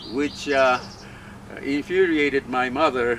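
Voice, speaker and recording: Noticeable background noise surrounds a man who talks at a fairly slow pace. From Japan, Yokohama. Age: 80s+. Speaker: UFO researcher, interview guest. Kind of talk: casual interview. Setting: outdoors in a park. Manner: halting, many fillers.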